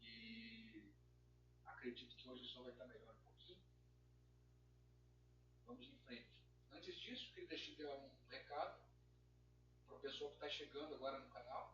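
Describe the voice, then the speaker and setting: The quiet voice is broken by long, frequent pauses. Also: moderate pace. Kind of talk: amateur research talk to camera. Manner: quiet, low volume.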